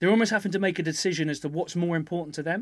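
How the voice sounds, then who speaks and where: A man speaks at a high pitch with a southern English accent and fairly even intonation. The recording is very clean, with a silent background. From southern England (Epsom, Surrey). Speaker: professional rugby player. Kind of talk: casual chat.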